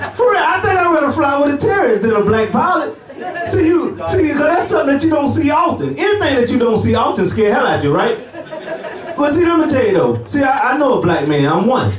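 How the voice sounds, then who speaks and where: A man with an American accent talks at a very fast pace, his pitch extremely high and swinging very widely while his loudness stays very even. Audible room echo and noticeable background noise fill the recording. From US South, Augusta, Georgia. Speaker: stand-up comedian. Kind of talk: stand-up. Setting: stage with audience.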